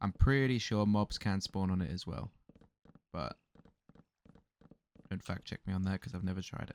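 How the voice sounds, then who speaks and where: With long, frequent pauses, a man speaks in a very deep, low voice with ordinary pitch variation, the sound dry and close with no echo. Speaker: gaming YouTuber. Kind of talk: let's play commentary. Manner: fast.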